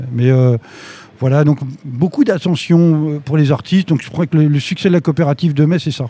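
With a fairly high pitch and ordinary pitch variation, a man talks at a moderate pace. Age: 60s. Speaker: concert venue director. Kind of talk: live interview before audience. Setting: stage with audience. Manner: halting, repetitive.

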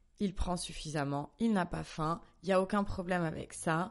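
Against a quiet background, a woman speaks at a moderate pace. Her pitch is fairly low, with ordinary variation. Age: 30s. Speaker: wellness journalist and fitness coach. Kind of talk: personal testimony in casual interview. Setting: at her home. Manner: hesitant, many fillers and repetitions.

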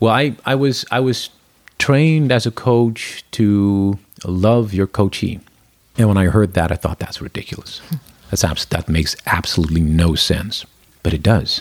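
In an ordinary speaking voice, a man with a fairly low pitch talks at a moderate pace with lively intonation, the sound dry and close with no echo. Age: 40s. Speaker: corporate culture lead and coach. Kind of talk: interview.

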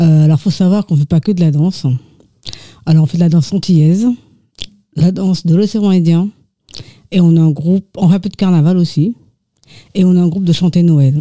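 A woman talks at a fairly quick pace with a fairly low pitch and a dark, mellow, somewhat breathy tone. Her pauses are long and frequent. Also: fairly even intonation. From Mauritius. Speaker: dancer and association treasurer. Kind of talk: radio interview.

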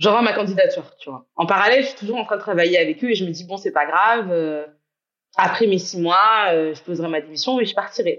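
A woman talks in a plain, everyday voice at medium pitch. Her pace is fairly quick, her intonation lively, and her loudness swings widely. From Guadeloupe. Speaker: entrepreneur. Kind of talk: casual chat.

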